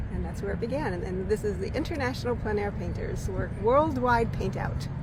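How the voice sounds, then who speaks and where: A woman's fairly quick speech comes through with noticeable background noise. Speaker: local artist. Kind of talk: interview answer.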